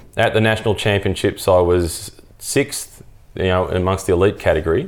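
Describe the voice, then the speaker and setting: Someone with an Australian accent speaks fairly quickly and with fairly even intonation on a very clean recording with a silent background. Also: man. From Australia, Melbourne. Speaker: cycling commentator. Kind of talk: interview. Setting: in-person recording.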